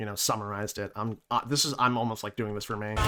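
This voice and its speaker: In a mid-range pitch, this man's voice comes across with a bright, sharp tone. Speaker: gaming commentator. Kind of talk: casual reaction commentary. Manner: fast; halting, many fillers.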